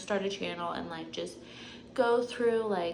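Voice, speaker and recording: A woman with an American accent speaks in a medium pitch, with audible room echo. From North Carolina, US South. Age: 20s. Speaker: physical therapist and vlogger. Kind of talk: casual chat. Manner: rambling filler-heavy speech.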